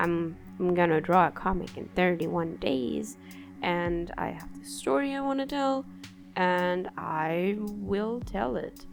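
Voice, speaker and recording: Music plays in the background, with audible room echo. A woman speaks at a very slow pace. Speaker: artist and video creator. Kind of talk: casual vlog review. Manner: loud. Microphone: poor audio.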